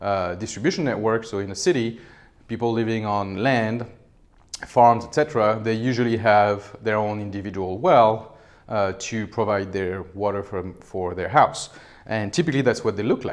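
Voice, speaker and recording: In a French accent, a man speaks at a moderate pace and medium pitch, with audible room echo. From France. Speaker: professor. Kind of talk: lecture. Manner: hesitant, many fillers.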